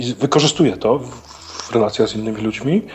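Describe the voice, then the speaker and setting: A man talks at a medium pitch with ordinary pitch variation. Noticeable background noise runs underneath. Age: 50s. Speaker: stand-in co-host. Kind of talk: casual chat.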